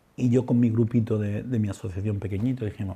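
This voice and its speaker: A man's somewhat breathy voice, dark and mellow in tone, at a moderate pace with ordinary pitch variation. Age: 60s. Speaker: psychologist and humanitarian volunteer. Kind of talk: testimony. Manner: halting, with repetitions.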